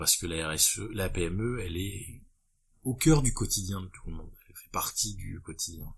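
With typical rises and falls in pitch, the speaker talks fairly slowly. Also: man. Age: 30s. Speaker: business owner. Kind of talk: interview.

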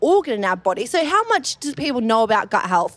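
A woman with an Australian accent speaks at a fairly quick pace. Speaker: dietitian and gut health researcher. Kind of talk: live panel discussion. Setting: stage with audience.

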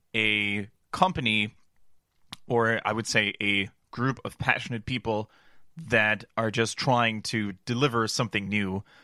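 A man's medium-pitched voice with a bright, sharp tone, a dry, close sound with no echo, and a very clean recording over a silent background. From Germany. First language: German. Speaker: esports show host. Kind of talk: casual chat.

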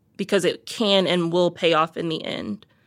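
Fairly low-pitched, a woman speaks with an unremarkable speaking voice and fairly even intonation. The recording is very clean, with a silent background. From US South, Miami, Florida. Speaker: trip director. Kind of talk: casual conversation.

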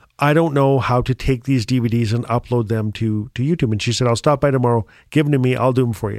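A man with a northern Canadian accent at medium pitch and fairly even intonation, very fast and with hardly any pauses, on a very clean recording with a silent background. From Northwest Territories, northern Canada. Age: 50s. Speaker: writer and storyteller. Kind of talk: casual conversation. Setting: recording studio.

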